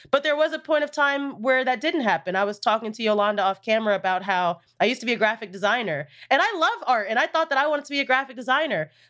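A high-pitched woman's voice with a bright, sharp tone, lively intonation and a very fast pace. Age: 20s. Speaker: social media producer. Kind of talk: casual chat.

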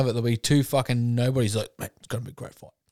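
The sound is dry and close, with no echo. A man speaks with an Australian accent. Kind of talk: casual banter. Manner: loud, joking, swearing.

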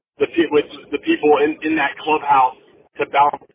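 A man speaks at a moderate pace in a fairly high voice, his intonation flat and monotone. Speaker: professional baseball player. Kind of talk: interview. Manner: halting.

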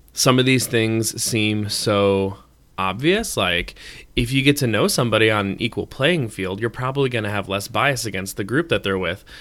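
This man talks at a moderate pace. His pitch shows ordinary variation. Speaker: podcast co-host. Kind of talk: casual chat.

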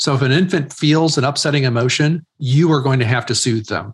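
A somewhat breathy, medium-pitched man's voice at a very fast pace, with ordinary pitch variation. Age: 50s. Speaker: author and ministry leader. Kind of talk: interview.

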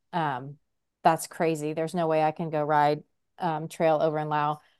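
A woman's fairly low voice at a moderate pace against a quiet background. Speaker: podcast co-host. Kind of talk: casual chat.

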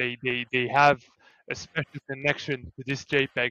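Moderately paced speech from a man with a fairly high pitch and a bright, sharp tone. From Lebanon and Greece. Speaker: NFT project co-founder. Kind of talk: interview answers.

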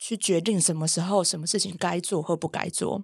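On a very clean recording with a silent background, a woman with an unremarkable speaking voice talks fairly quickly at a fairly low pitch with ordinary pitch variation. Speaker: animal communicator and podcast host. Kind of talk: casual chat.

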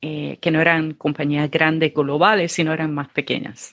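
The recording is very clean with a silent background and a dry, close sound with no echo, carrying a woman's fairly low-pitched voice with a bright, sharp tone. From Puerto Rico. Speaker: former corporate project manager, entrepreneur. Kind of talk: interview.

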